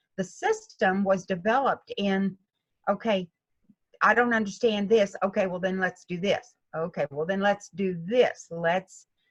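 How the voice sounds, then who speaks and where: Somewhat breathy, a woman speaks at a fairly slow pace with fairly even intonation. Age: 70s. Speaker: golf instructor. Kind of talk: interview.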